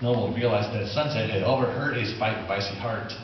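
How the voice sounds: Audible room echo surrounds a man speaking fairly quickly at a fairly low pitch. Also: ordinary pitch variation.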